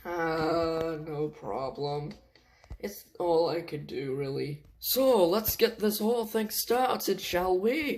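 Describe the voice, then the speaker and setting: Using a put-on character voice, a man speaks at a very slow pace and a high pitch. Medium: read story. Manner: friendly, eager.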